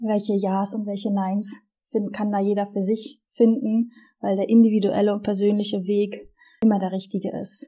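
A woman's somewhat breathy, dark, mellow voice at medium pitch, monotone and flat, at a moderate pace. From northern Germany, Wismar on the Baltic coast. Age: 30s. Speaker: podcast co-host, sports manager. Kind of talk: podcast introduction, casual.

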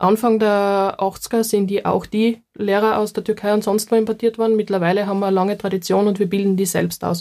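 A woman's dark, mellow voice with a Styrian accent, at a fairly quick pace with hardly any pauses, very even loudness and monotone, flat intonation. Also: medium pitch for a woman, very clean recording, silent background. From Styria, Austria. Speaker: minority rights researcher. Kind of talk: casual chat.

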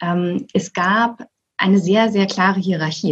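A woman talks in a somewhat breathy voice. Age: 40s. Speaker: managing director. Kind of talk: interview.

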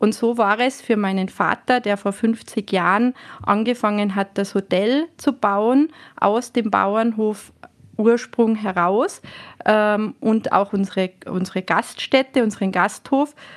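The speech moves at a very slow pace with fairly even intonation over a quiet background. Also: woman, fairly high pitch for a woman. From Austria, Tyrol. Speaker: hotel manager. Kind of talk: interview.

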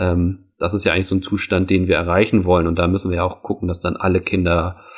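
In a very clean recording with a silent background, a man speaks at a moderate pace in a very deep, low voice. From Hamburg, northern Germany. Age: 30s. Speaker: floorball coach. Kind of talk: interview. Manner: hesitant, many fillers.

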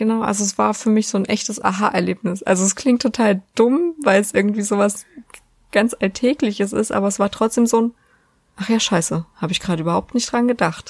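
A woman talks fairly quickly with ordinary pitch variation. Her voice is somewhat breathy. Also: medium pitch for a woman. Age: 20s. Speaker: podcast host. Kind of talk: casual chat.

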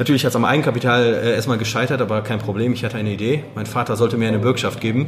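Over noticeable background noise, a man rattles along at a very fast pace with hardly any pauses, keeping a medium pitch and a monotone, flat intonation. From Germany, Wuppertal (born in Poland, moved at six). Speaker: real estate investor. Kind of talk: interview. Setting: in person after a meetup.

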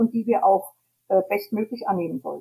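A woman speaks fairly quickly with very wide pitch swings, recorded dry and close with no echo. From Hesse, Germany. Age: 70s. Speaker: tour guide and self-employed entrepreneur. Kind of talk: interview. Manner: hesitant with many fillers.

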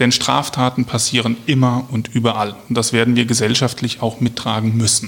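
The delivery is moderately paced and flat in monotone, with hardly any pauses. Loudness stays very even over noticeable background noise. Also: man, medium pitch for a man. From Germany, Hesse (Marburg). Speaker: police officer and local politician. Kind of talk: interview.

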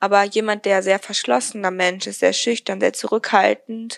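A woman's unremarkable speaking voice at medium pitch and moderate pace, with fairly even intonation and a dry, close sound with no echo. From Germany. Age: young. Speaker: podcaster, recent school graduate. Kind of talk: casual interview.

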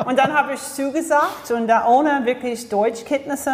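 Moderate pace from a woman with an English accent, ordinary pitch variation, and noticeable background noise. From US, Florida. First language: English (speaking German). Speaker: leadership coach and speaker. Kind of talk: interview. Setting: studio.

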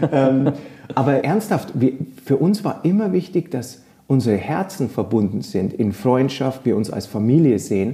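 Using very wide pitch swings, a man speaks at a fairly slow pace and a medium pitch. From rural Germany. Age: 40s. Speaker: yoga teacher. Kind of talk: casual chat.

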